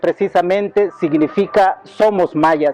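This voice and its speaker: A man's high voice with a dark, mellow tone and a Yucatán accent, at a fairly slow pace. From Yucatán, Mexico. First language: Yucatec Maya (speaking Spanish). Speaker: bilingual teacher, cultural association representative. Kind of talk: interview monologue. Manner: halting, with repeated words and fillers; formal.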